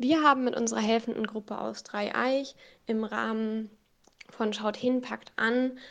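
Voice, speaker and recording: A woman talks at a fairly slow pace in an ordinary speaking voice. Her pitch is fairly high and her intonation fairly even. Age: 20s. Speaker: student and scout leader. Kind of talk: interview.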